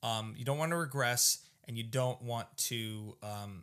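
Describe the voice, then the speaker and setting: A man talks at a medium pitch in a playful, bright and sharp tone. The recording is very clean, with a silent background. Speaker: podcast co-host, parent. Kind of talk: casual chat. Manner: joking, playful.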